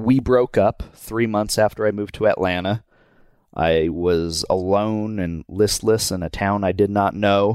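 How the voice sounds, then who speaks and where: Fairly low in pitch, a man talks at a fairly slow pace. The recording is dry and close, with no echo. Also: very clean recording, silent background. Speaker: animated show co-creator. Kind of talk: casual chat. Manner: low energy.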